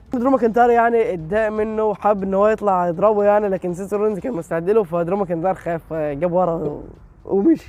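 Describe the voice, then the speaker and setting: High-pitched male speech, fairly quick, with ordinary pitch variation. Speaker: wrestling show recap youtuber. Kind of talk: show recap narration.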